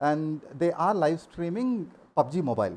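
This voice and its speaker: A man with an Indian accent. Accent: Indian English, Telugu. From India, Andhra Pradesh. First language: Telugu. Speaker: gaming streamer. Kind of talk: live stream talk.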